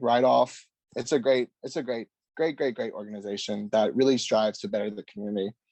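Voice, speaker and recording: Recorded dry and close with no echo, a man with a medium-pitched voice speaks at a fairly quick pace. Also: ordinary pitch variation. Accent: Louisiana. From Louisiana (small rural town). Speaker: mental health nonprofit director. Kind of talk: podcast interview.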